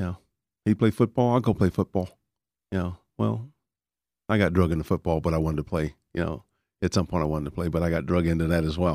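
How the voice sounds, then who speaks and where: A man's very deep, low voice in a Texan accent, very fast yet with long, frequent pauses, ordinary pitch variation, a very clean recording with a silent background, and a dry, close sound with no echo. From Texas Panhandle, raised in Dallas (Oak Cliff). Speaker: retired firefighter and paramedic. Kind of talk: interview.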